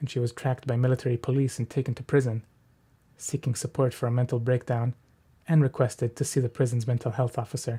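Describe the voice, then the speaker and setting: On a very clean recording with a silent background, a man speaks very fast in an Israeli accent at a medium pitch. His tone is dark, mellow and somewhat breathy, his intonation monotone and flat, and the sound is dry and close with no echo. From Israel, Jerusalem. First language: Hebrew. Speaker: writer. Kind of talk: reading aloud.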